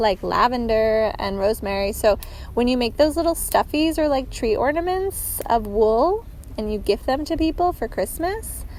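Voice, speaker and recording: Amid noticeable background noise, a woman talks at a moderate pace in a high pitch with very wide pitch swings. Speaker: knitting podcaster. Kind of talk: casual podcast monologue. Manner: chatty, filler-heavy.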